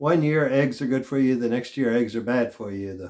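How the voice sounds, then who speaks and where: With an ordinary speaking voice, a man talks at a moderate pace, his pitch medium and his intonation fairly even. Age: 50s. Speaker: health vlogger. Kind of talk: casual monologue.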